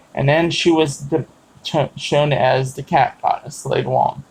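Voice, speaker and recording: The man's intonation stays fairly even. His voice is somewhat breathy. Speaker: pagan vlogger. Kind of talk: casual talk to camera. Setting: live stream. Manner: halting, many fillers.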